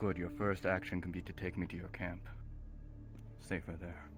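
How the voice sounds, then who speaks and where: A man uses a put-on character voice, very deep and low, at a moderate pace. Loud music plays in the background. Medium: game stream. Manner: curt, guarded.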